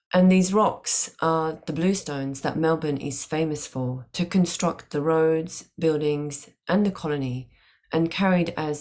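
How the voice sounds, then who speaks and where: A woman speaks very slowly with a very deep, low pitch. Her pitch varies in an ordinary way. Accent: Japanese. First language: Japanese. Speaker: design academic. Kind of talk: conference presentation.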